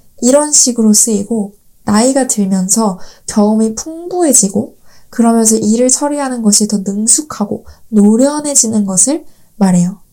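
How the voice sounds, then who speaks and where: A woman speaks in a dark, mellow tone at a moderate pace. Her loudness stays very even. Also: fairly high pitch for a woman, ordinary pitch variation. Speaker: podcast host, Korean language teacher. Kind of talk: scripted monologue for learners. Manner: clear, learner-friendly pacing.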